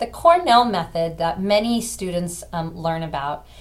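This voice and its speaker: Room echo can be heard as a woman talks at a moderate pace. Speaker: college instructor. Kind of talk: lecture. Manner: casual, with many fillers.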